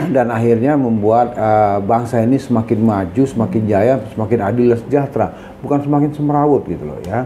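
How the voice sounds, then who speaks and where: Hardly any pauses break up the fairly quick delivery, and the pitch varies in an ordinary way. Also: man, medium pitch for a man. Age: 60s. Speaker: senior lawyer. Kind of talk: interview. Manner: halting, with fillers.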